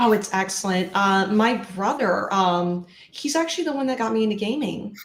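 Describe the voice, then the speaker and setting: A woman speaks at a medium pitch and a moderate pace. Her intonation is lively. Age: 30s. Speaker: streamer. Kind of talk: interview.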